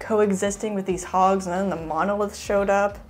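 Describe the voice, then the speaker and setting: Her voice sits at a middling pitch. Background music accompanies it. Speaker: film review podcast co-host. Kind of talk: casual chat. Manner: halting, stuttering.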